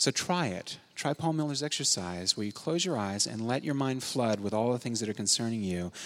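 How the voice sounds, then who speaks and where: In a normal speaking voice, the speaker goes at a fairly quick pace with lively intonation and hardly any pauses. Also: man, medium pitch for a man. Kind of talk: guided prayer meditation.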